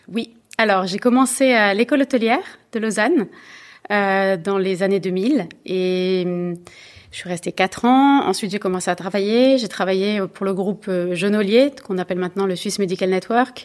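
In a very clean recording with a silent background, a woman with a plain, everyday voice speaks at a moderate pace and medium pitch with ordinary pitch variation. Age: 40s. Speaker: bank co-founder and executive. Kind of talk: interview. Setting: in person at her company's offices.

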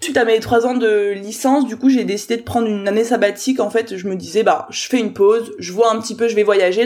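The speaker talks at a fairly quick pace in an animated tone with ordinary pitch variation. Noticeable background noise is present. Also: woman. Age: 20s. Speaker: business coach. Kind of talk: interview.

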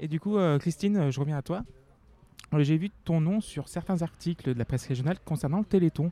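A man with a dark, mellow tone and long, frequent pauses. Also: fairly high pitch for a man, ordinary pitch variation. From France, Loire. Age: 30s. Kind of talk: scripted narration; casual interview.

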